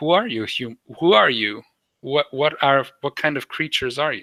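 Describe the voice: A man puts on a shrill character voice at a fairly high pitch, talking at a moderate pace.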